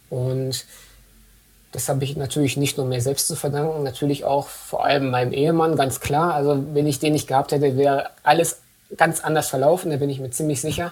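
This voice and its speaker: At a fairly quick pace, a man with a fairly high pitch and a somewhat breathy voice speaks in a monotone, flat intonation. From Dortmund, western Germany. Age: 30s. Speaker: MS patient and advocate. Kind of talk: interview.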